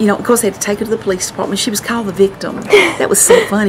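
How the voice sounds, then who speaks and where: Noticeable background noise sits behind this recording. A woman speaks with a Southern US accent at a medium pitch. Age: 60s. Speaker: local artist and columnist. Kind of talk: casual storytelling during a home tour. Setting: at her home. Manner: animated.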